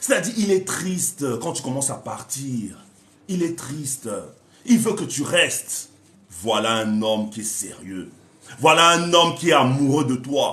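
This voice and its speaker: A man with a fairly high pitch speaks at a fairly slow pace, leaving long, frequent pauses. His pitch swings very widely and his loudness shifts in big swings. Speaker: relationship coach. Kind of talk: live stream talk. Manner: animated.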